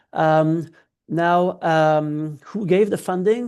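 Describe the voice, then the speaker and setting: A woman is speaking. The background is quiet. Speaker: researcher presenting a funding report. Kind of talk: webinar presentation. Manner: many filler hesitations.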